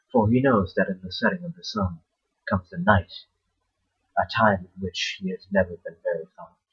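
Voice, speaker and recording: At a moderate pace, a man talks in a dry, close sound with no echo. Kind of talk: horror short story reading. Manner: mumbling.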